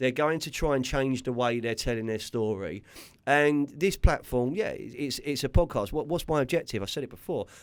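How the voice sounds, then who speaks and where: A man with a West London accent on a very clean recording with a silent background. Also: medium pitch for a man, ordinary pitch variation, moderate pace. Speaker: podcast host. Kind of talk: casual chat. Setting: studio. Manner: halting, repeats words.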